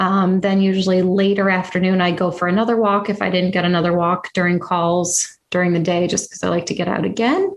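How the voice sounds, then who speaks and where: The loudness stays very even throughout. The pace is fairly quick, and the intonation is monotone and flat. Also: woman, medium pitch for a woman. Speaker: podcast host and swallowing specialist. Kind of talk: casual interview chat.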